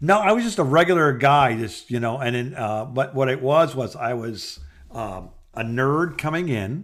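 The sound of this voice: In a very clean recording with a silent background, a man of medium pitch talks at a fairly slow pace, his tone fairly bright and his intonation lively.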